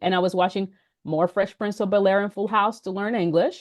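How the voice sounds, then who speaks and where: A woman with a Dominican accent, medium in pitch, at a very fast pace. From Dominican Republic and Puerto Rico. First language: Spanish. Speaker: business founder. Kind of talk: interview.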